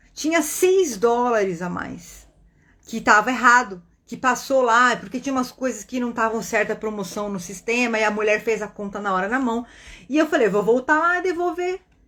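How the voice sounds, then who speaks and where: With a fairly high pitch and lively intonation, a woman speaks at a moderate pace in an animated tone, recorded very cleanly against a silent background. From Brazil. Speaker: spiritist online teacher and meditation guide. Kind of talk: casual teaching talk on a livestream.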